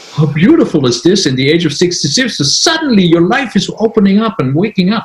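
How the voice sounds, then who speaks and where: At a very fast pace, a man talks in a high voice with lively intonation. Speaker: intuitive healer. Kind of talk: interview. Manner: halting.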